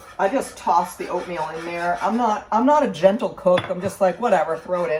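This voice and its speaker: A woman with medium pitch, lively intonation and big swings in loudness at a fairly quick pace, over noticeable background noise. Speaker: home cook vlogger. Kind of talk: cooking tutorial. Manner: fast; casual, rambling with fillers.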